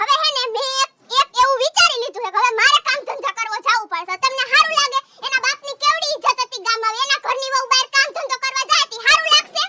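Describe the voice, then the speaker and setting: Using a put-on character voice at an extremely high pitch, a woman speaks at a moderate pace with ordinary pitch variation. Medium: comedy sketch. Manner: loud, scolding, mocking.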